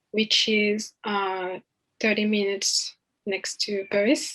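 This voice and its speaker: In a French accent, a woman speaks at a very slow pace with a medium pitch. Her tone is bright and sharp, with ordinary pitch variation. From France. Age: 20s. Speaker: college student. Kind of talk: podcast interview. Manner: hesitant, many fillers.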